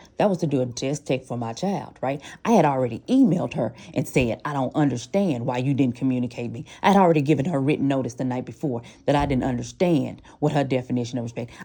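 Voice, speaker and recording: A woman's very deep, low voice with a dark, mellow tone at a very fast pace. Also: ordinary pitch variation. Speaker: parent. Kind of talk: heated debate. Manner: forceful.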